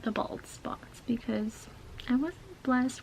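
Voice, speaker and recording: Over noticeable background noise, a woman with a high pitch talks at a fairly slow pace. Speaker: beauty YouTuber. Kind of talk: casual makeup tutorial talk to camera. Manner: whispered.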